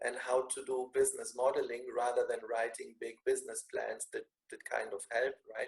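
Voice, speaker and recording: A man speaks with a German accent. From Germany, Bavaria. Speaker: business school lecturer. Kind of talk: online meeting self-introduction. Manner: repetitive, halting.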